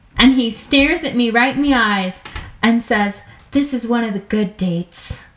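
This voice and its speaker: There is noticeable background noise behind this woman. She speaks at a moderate pace in a fairly high pitch with ordinary pitch variation. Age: 20s. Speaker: podcast co-host. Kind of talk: casual chat.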